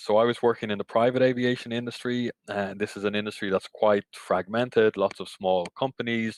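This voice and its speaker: A man speaks at a fairly quick pace with fairly even intonation. His voice sounds dry and close, with no echo. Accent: Irish. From Ireland. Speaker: cycling industry association CEO. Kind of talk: podcast interview.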